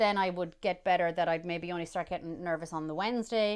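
In an Irish midlands accent, the speaker talks at a fairly quick pace with an animated tone. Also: woman. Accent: Irish (Roscommon, midlands). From Ireland, County Roscommon. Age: 30s. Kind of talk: casual interview chat. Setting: remote recording.

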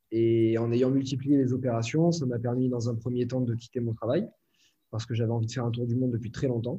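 Somewhat breathy, a man speaks at a fairly quick pace in a medium pitch. His tone is dark and mellow. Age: 20s. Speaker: entrepreneur and online trainer. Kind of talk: casual interview.

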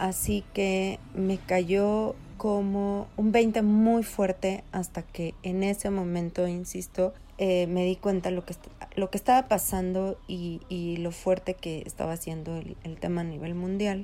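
Amid noticeable background noise, a woman with a medium pitch speaks at a very slow pace with fairly even intonation. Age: 40s. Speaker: market researcher. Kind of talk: recorded testimony.

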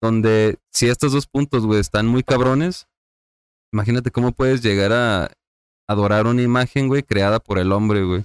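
With a normal speaking voice, a man of medium pitch talks at a moderate pace with ordinary pitch variation and very even loudness, the sound dry and close with no echo. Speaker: hospital worker. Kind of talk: casual chat.

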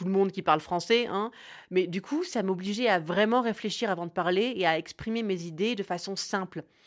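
Against a quiet background, a woman with a normal speaking voice talks at a moderate pace and medium pitch, with ordinary pitch variation. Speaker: podcaster. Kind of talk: scripted narration. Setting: home recording.

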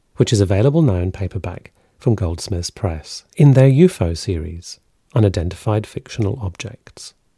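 A man's fairly low, somewhat breathy voice with a dark, mellow tone, a Scottish accent, lively intonation and a moderate pace, in a dry, close, echo-free and very clean recording with a silent background. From Scotland. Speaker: podcast host. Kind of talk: scripted narration; interview.

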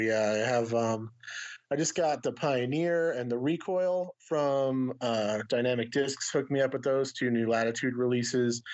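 A man talks at a moderate pace in an unremarkable speaking voice, his pitch medium with ordinary variation. His loudness stays very even throughout. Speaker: disc golf YouTuber. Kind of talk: casual chat.

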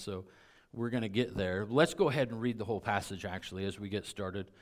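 On a very clean recording with a silent background, a man talks in an ordinary speaking voice. His pitch is fairly low, with ordinary pitch variation. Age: 50s. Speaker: pastor. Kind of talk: sermon. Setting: church.

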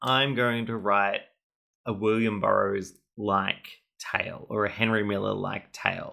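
Heard on a very clean recording with a silent background, a man speaks in an Australian accent. His tone is bright and sharp, and his pace is fairly slow. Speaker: podcast host. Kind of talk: casual chat.

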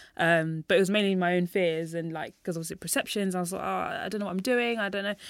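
A woman speaks with a London accent. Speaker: running coach and youth mentor. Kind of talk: podcast interview. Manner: animated.

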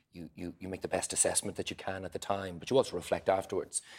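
In a very clean recording with a silent background, a man with an Irish accent speaks at a fairly low pitch. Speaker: politician. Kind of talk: panel discussion. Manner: halting.

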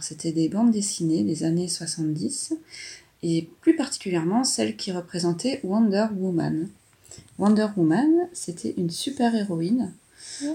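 A woman with a fairly low pitch speaks with a dark, mellow tone, somewhat breathy, and lively intonation. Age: 40s. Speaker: mother describing an artwork with her daughter. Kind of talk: casual commentary describing a drawing. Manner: hesitant, with fillers.

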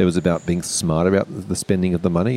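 A man's very deep, low voice in an Australian accent, dark and mellow in tone, at a very fast pace. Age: 40s. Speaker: parent and financial educator. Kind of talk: casual chat. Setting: hotel lobby.

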